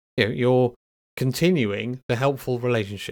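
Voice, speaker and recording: A British-accented man's medium-pitched voice, with ordinary pitch variation and a moderate pace, on a very clean recording with a silent background. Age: 40s. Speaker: podcast host, software engineer. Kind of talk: solo podcast monologue. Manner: hesitant, many fillers.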